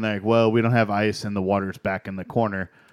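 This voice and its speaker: A man speaks in a monotone with flat intonation. The sound is dry and close with no echo. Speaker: beer podcast co-host. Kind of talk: casual chat. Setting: studio.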